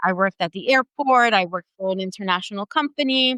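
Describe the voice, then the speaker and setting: A woman with an Italian accent speaks at medium pitch in a bright, sharp tone, with ordinary pitch variation. The sound is dry and close with no echo. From Italy, moved to US at 13. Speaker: English as a new language teacher. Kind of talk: podcast interview.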